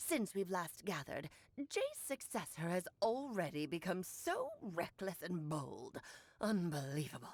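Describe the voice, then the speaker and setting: A woman uses a put-on character voice at a medium pitch. She speaks at a moderate pace. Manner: grandiose, haughty.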